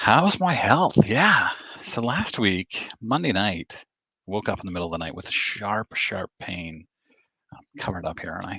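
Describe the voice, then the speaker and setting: A quiet, fairly low-pitched man's voice, bright and sharp, at a fairly slow pace with lively intonation, dry and close with no echo. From Maine, US. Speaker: sports card YouTuber. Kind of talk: livestream chat reading comments. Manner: quiet, keeping voice down.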